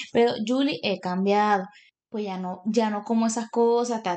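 A woman's ordinary speaking voice, fairly high in pitch with ordinary pitch variation, at a fairly slow pace over a quiet background. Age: 30s. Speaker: podcast co-host, mechanical engineer. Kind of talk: casual chat.

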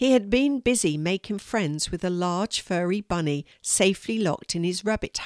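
Someone reading aloud in a natural voice, with lively intonation.

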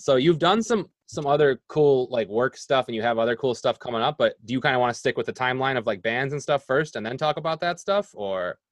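A man with an American accent speaks at a fairly quick pace in an ordinary speaking voice, his pitch medium and his intonation lively. The sound is dry and close, with no echo. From Rochester area, New York. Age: 40s. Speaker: podcast host. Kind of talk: casual interview chat.

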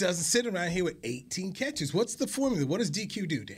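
A man with a somewhat breathy voice swings his pitch very widely, captured in a very clean recording against a silent background. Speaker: podcast co-host and former player. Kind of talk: sports talk show banter and commentary. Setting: studio. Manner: animated, casual, conversational.

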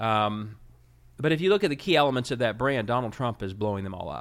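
A man with an American accent talks at a fairly quick pace and medium pitch in an unremarkable speaking voice, recorded very cleanly with a silent background. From Ohio, Cincinnati. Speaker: state party chairman. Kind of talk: interview.

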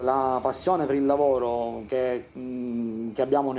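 A man's medium-pitched, monotone, flat voice at a fairly quick pace, with noticeable background noise. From Sicily, Siracusa. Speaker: civil engineer. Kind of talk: interview testimony. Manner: halting.

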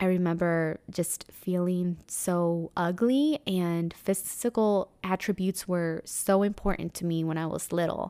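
With a Spanish accent and fairly even intonation, a woman's fairly low, dark, mellow voice sounds dry and close with no echo on a very clean recording with a silent background. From Mexico. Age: 30s. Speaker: podcast host and meditation teacher. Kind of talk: casual monologue.

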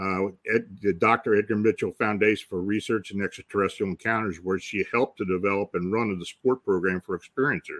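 A man's normal speaking voice, fairly low in pitch, at a fairly quick pace, dry and close with no echo against a quiet background. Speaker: radio host. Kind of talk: interview roundtable discussion. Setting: online broadcast.

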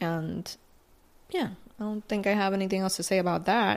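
At a moderate pace, a woman speaks at a medium pitch in a Puerto Rican accent. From Puerto Rico. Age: 20s. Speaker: podcast host. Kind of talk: casual chat. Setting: sitting at a vanity at night. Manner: casual Spanish-English code-switching.

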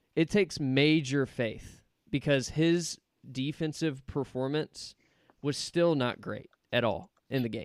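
A man's fairly high pitch at a fairly slow pace, with ordinary pitch variation and an ordinary speaking voice. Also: dry, close sound with no echo. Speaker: podcast host. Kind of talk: casual sports podcast chat.

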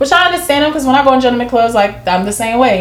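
Noticeable background noise sits behind this recording. A woman with an American accent talks at a very fast pace in an animated tone with ordinary pitch variation. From Jacksonville, Florida. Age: 20s. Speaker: dancer and real estate agent. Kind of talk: casual chat. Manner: loud, animated.

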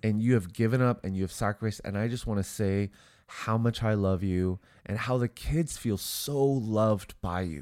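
Recorded very cleanly against a silent background, a man speaks at a moderate pace with a nasal, fairly low voice and ordinary pitch variation. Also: slightly mellow tone.

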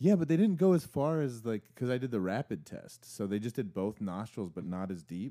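An American-accented man with a dark, mellow tone and medium pitch, very wide pitch swings, a fairly quick pace and hardly any pauses. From Arizona. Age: 30s. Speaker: podcast host and songwriter. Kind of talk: casual chat.

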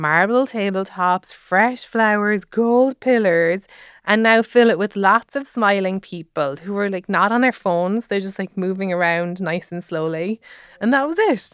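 An ordinary speaking voice comes at a fairly slow pace with ordinary pitch variation. The recording is very clean and dry, close with no echo, over a silent background. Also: woman, medium pitch for a woman. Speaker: comedian and podcast host. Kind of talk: scripted narration with interviews. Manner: jokey.

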